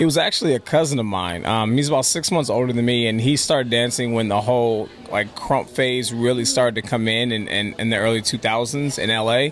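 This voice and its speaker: A man with a Californian accent talks at medium pitch, fairly quickly and with hardly any pauses, over background music. His pitch varies in an ordinary way and his loudness stays very even. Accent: Californian American English. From Los Angeles, then North County San Diego from age 12. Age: 20s. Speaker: dancer. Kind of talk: interview. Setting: coffee house.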